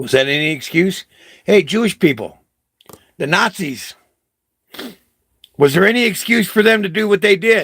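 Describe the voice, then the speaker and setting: The speaker has an animated tone and lively intonation, keeping a moderate pace broken by long, frequent pauses. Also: man, high pitch for a man. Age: 60s. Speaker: vlogger. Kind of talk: impassioned monologue. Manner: halting.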